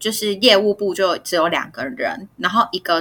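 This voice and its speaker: This woman has a bright, sharp tone at medium pitch. She talks at a moderate pace. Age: 30s. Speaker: podcast co-host. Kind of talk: casual chat.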